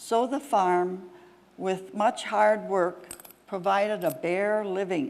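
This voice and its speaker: In an American accent, the speech goes at a very slow pace. Pitch variation is ordinary. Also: woman, medium pitch for a woman. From Wisconsin, US Midwest. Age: 80s+. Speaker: local historian speaker. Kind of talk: reading aloud.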